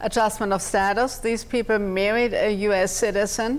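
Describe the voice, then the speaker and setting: A woman with a German accent speaks at a fairly slow pace, with a fairly high pitch and fairly even intonation. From Germany, Munich. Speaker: immigration attorney. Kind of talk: TV interview.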